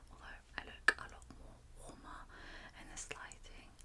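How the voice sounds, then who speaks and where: A woman whispering. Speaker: ASMR creator. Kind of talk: ASMR product review. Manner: soft-spoken; soothing.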